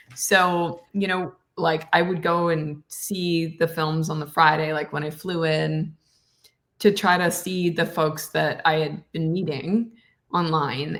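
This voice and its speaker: A woman's plain, everyday voice, fairly low in pitch, with fairly even intonation, on a very clean recording with a silent background. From Canada. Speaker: actress and voice actor. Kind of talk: podcast interview answer. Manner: casual, chatty.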